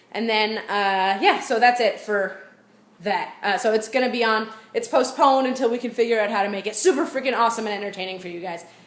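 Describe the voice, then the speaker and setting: The delivery is animated and very fast, with ordinary pitch variation. Room echo is audible. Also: woman, fairly high pitch for a woman. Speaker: vlogger and online book club host. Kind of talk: casual vlog. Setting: at home.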